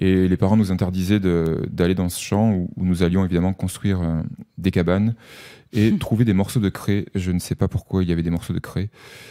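This voice has a dark, mellow tone and a monotone, flat intonation at a moderate pace. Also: man, very deep, low pitch for a man. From southern France, Avignon area. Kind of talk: radio interview. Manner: halting.

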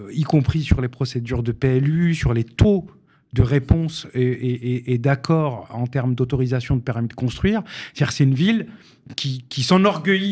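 Somewhat breathy medium-pitched male voice at a moderate pace, ordinary pitch variation, very clean recording with a silent background. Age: 40s. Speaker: housing policy expert. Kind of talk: radio panel discussion.

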